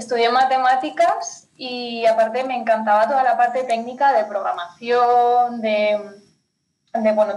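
A woman talks in a normal speaking voice, fairly high in pitch. Her pitch varies in an ordinary way. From Spain, Pyrenees (north). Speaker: finance consultant for entrepreneurs. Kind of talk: interview.

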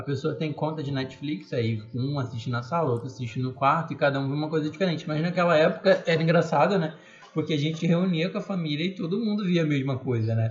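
Talking at a very fast pace, the speaker leaves hardly any pauses. The pitch varies in an ordinary way. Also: man, fairly high pitch for a man. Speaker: podcast co-host. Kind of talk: casual chat.

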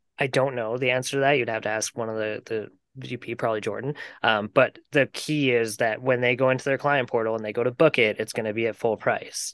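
This is a man with a normal speaking voice, medium in pitch and fairly even in intonation, at a fairly quick pace. The sound is dry and close with no echo, against a quiet background. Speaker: podcast co-host. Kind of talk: casual chat.

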